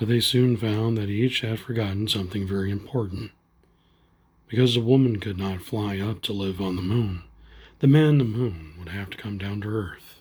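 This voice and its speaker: Soft-spoken and somewhat breathy, a man talks in a gentle tone in a very clean recording with a silent background. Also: fairly low pitch for a man, ordinary pitch variation, moderate pace. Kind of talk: bedtime story reading. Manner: gentle, soft-spoken.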